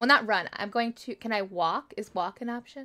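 A woman with a bright, sharp tone speaks at a moderate pace and varies her pitch in an ordinary way. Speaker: tabletop RPG player. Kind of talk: tabletop roleplaying game session.

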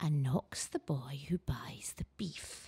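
A woman speaks at a very slow pace in a put-on character voice. Her pitch is very deep and low, and the sound is raspy. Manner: muttering.

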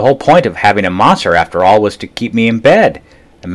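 Simply a natural reading voice

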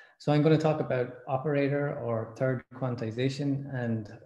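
Delivered at a moderate pace with fairly even intonation, the dark, mellow voice carries audible room echo. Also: man. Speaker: speaker. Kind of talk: lecture. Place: home room. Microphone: webcam.

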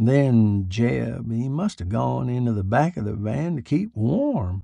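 A man puts on a character voice at a medium pitch, dark and mellow in tone with vocal fry. He goes at a slow pace with lively intonation.

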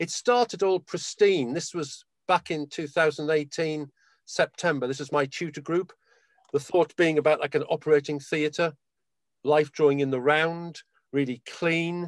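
A man talks at a moderate pace in a fairly high pitch, with ordinary pitch variation and a normal speaking voice. The sound is dry and close with no echo, and the background is quiet. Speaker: university drawing educator. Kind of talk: slide presentation. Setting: video call.

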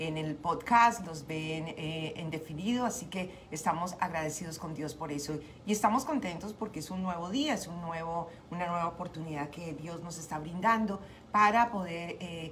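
There is light background noise as a woman speaks at a moderate pace. Her pitch is fairly low, with ordinary pitch variation. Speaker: radio show host. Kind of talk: radio host greeting and devotional talk. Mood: warm, grateful, encouraging. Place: home room. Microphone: studio mic.

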